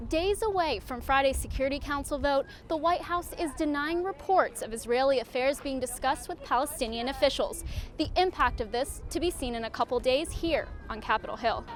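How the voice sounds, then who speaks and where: Speaking at a fairly quick pace, a woman uses lively intonation and a high pitch over noticeable background noise. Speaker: TV news reporter. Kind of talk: on-location news stand-up.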